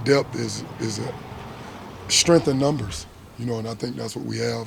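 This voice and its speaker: A Southern US accent at a moderate pace, with audible room echo and noticeable background noise. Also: man. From US South, South Georgia. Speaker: football coach. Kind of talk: press conference. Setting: media availability after practice.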